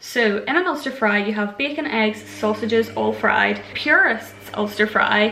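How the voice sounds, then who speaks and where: Through noticeable background noise, a woman with a Northern Irish accent speaks at a fairly high pitch. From Northern Ireland. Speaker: vlogger. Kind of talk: casual vlog. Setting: home kitchen. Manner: chatty, lots of fillers.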